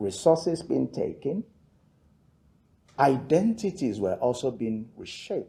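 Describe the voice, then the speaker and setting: A fairly high-pitched man with a Yoruba accent and a dark, mellow tone, at a fairly slow pace with very wide pitch swings. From Nigeria (Yoruba). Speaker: theologian and author. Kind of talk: lecture. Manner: measured, with hesitations.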